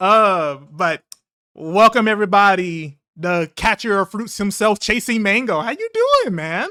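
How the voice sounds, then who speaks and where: A man talks at a fairly slow pace in a raised, projected voice with a high pitch, a bright, sharp tone and ordinary pitch variation. The recording is very clean and dry, close with no echo, over a silent background. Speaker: gaming podcast host. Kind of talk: casual chat. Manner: energetic, enthusiastic.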